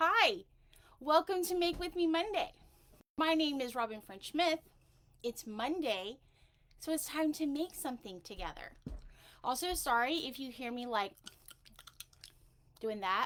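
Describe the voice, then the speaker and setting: At a fairly slow pace, a woman with a high voice makes very wide pitch swings and takes long, frequent pauses. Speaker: cosmetics maker, livestream host. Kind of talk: live tutorial stream. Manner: chatty, casual.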